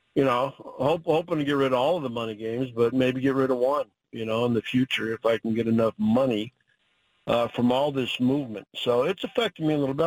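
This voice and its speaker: On a very clean recording with a silent background, a man with an American accent uses a normal speaking voice at medium pitch with fairly even intonation. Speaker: college football head coach. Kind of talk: casual interview.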